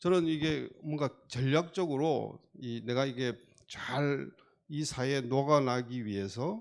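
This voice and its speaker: A man speaks with a Gyeongsang accent. The recording is very clean, with a silent background. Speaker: foundation committee chair, doctor. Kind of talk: onstage interview talk.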